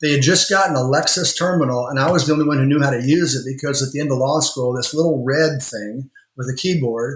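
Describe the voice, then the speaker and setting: Using a plain, everyday voice, a man with an American accent talks at a fairly quick pace, fairly high in pitch, with ordinary pitch variation. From rural Indiana. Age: 60s. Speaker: lawyer and law firm owner. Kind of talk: podcast interview.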